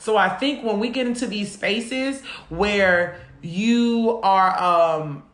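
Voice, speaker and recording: A woman of medium pitch speaks in an animated tone, with audible room echo and noticeable background noise. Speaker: podcast co-host. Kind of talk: casual chat. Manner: loud.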